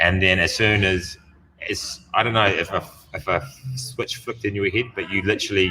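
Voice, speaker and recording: A man's bright, sharp voice at a fairly low pitch. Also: moderate pace. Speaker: gym owner and podcast host. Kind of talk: casual chat. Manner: animated.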